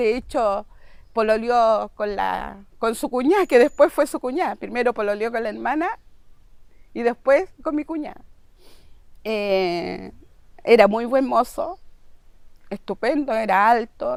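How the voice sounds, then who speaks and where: With a Chilean accent, a woman of fairly high pitch speaks fairly slowly, with lively intonation and long, frequent pauses. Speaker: victim's sibling. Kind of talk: testimony.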